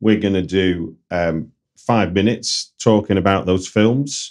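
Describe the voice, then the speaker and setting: A man with a Manchester accent talks in a fairly low pitch. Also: quiet background. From North Manchester, England. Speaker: podcast host, screenwriter. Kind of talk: casual interview chat.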